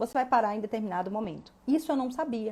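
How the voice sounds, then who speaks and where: A woman's fairly high, dark, mellow voice at a fairly quick pace, with ordinary pitch variation. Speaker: law exam prep teacher. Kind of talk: live stream talk. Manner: fast; animated.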